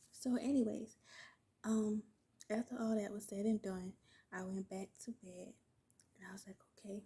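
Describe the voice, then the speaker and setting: Her voice is fairly high, somewhat breathy and dark and mellow in tone, with monotone, flat intonation, big swings in loudness, and long, frequent pauses at a moderate pace. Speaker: vlogger, new mother. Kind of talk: casual storytime vlog. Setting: at home, baby asleep nearby. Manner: casual, chatty with fillers.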